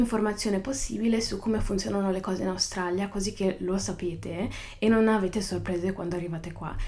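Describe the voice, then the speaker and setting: A woman's dark, mellow tone carries fairly even intonation. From northern Italy. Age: young. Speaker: podcaster. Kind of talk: casual monologue. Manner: halting, with many fillers.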